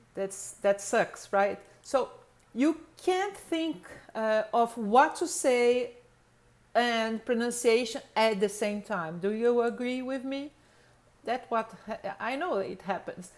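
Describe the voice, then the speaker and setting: A woman's fairly high voice in a Brazilian accent, very slow, with lively intonation. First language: Portuguese. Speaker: English pronunciation teacher. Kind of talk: lecture. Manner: halting, many fillers.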